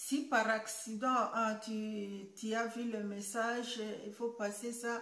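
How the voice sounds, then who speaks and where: A very slow, flat monotone delivery with audible room echo. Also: woman, fairly high pitch for a woman. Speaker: YouTuber. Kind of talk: vlog monologue. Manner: halting, many hesitations.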